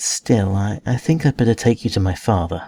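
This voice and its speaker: A put-on character voice from a man, fairly low in pitch, at a moderate pace, with hissing. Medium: read story. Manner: guarded, sarcastic.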